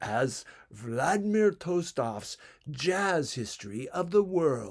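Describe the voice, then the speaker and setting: A booming, put-on character voice from a man, fairly high in pitch with very wide pitch swings, at a very slow pace on a very clean recording with a silent background. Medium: read story. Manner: booming, showman-like.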